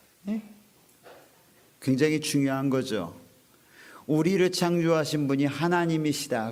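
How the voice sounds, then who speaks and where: Amid audible room echo, a man speaks at a fairly slow pace with lively intonation. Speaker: pastor. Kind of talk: sermon. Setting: online revival meeting video.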